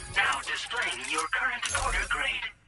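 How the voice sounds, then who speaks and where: This put-on character voice sits at a high pitch and moves at a moderate pace. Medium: fan dub.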